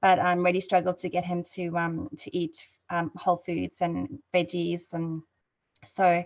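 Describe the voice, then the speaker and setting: In a South African accent, a woman speaks at a fairly slow pace and fairly low pitch with fairly even intonation. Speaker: network marketing ambassador. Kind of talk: testimony. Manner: hesitant, many fillers.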